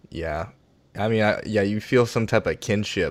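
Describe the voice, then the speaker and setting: With an American accent, a man talks at a fairly quick pace in an unremarkable speaking voice, his intonation fairly even. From US South, Virginia. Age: 30s. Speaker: comedian. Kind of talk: casual chat.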